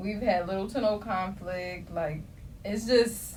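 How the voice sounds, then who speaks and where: A woman at a medium pitch is heard through noticeable background noise and audible room echo. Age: young. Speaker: podcast host. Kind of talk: casual chat. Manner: animated.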